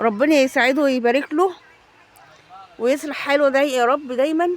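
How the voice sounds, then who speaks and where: A woman with a high pitch speaks in an animated tone, her pitch varying in an ordinary way. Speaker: shopping vlogger. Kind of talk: casual vlog.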